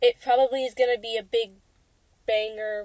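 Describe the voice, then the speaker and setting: A woman talks with a monotone, flat intonation. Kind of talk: casual podcast conversation. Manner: hesitant, casual.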